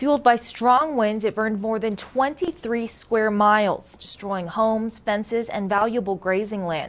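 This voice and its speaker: Here a woman uses a normal speaking voice at a medium pitch. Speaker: news anchor. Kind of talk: TV news anchoring. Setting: studio.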